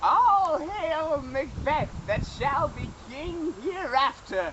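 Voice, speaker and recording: Using a put-on character voice, a female-sounding speaker talks at a very slow pace with a high pitch. Background noise is clearly audible. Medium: stage play.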